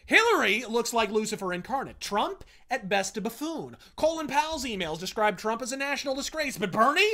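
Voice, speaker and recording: A man's extremely high, bright and sharp voice, raised and projected, with lively intonation, a fairly quick pace and hardly any pauses against a quiet background. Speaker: political commentary video host. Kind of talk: profane, theatrical angry political rant. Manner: profanity-laced, sneering and sarcastic invective; florid, rapid-fire insults with mock-formal flourishes. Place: home room.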